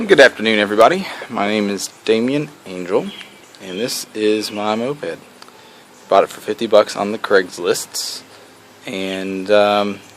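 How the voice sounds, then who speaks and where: A man talks at a fairly slow pace with long, frequent pauses. His pitch is fairly low with ordinary variation, and there is noticeable background noise. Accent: American. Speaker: hobbyist moped restorer, IT worker. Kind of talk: casual video blog walkthrough.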